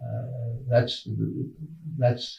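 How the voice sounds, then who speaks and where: A man's somewhat breathy voice in a flat monotone. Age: 80s+. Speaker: retired college administrator. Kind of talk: interview. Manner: halting, many fillers.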